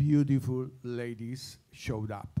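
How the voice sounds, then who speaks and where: This is a man speaking. He has an Italian accent. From Italy. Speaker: former jazz club owner and saxophonist, award presenter. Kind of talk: award presentation speech. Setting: stage with audience. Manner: halting.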